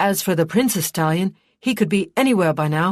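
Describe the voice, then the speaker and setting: A put-on character voice at middle pitch and a fairly quick pace. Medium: read story. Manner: casual but uneasy.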